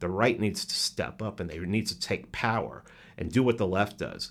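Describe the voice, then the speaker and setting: A man with a New York accent speaks at a fairly low pitch, recorded very cleanly against a silent background. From New York City, the Bronx. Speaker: podcaster. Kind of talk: casual chat. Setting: studio.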